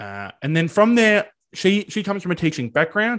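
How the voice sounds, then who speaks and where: A fairly quick-paced man with an Australian accent. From regional Victoria, Australia. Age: 20s. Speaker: teaching student. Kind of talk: interview. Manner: animated.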